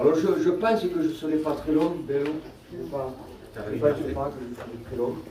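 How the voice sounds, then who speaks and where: Amid noticeable background noise and audible room echo, a man with a fairly high pitch speaks fairly slowly, with ordinary pitch variation. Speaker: pastor. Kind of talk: sermon. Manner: soft-spoken.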